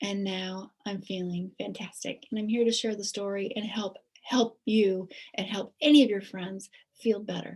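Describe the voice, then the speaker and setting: A woman's somewhat breathy voice sits at medium pitch with fairly even intonation. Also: moderate pace. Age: 60s. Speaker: nurse promoting health products. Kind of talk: sales pitch.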